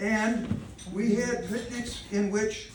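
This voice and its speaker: There is noticeable background noise as a man talks with an American accent. His pitch is high and his intonation fairly even. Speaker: freemason past grand master. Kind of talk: lodge speech, oral history.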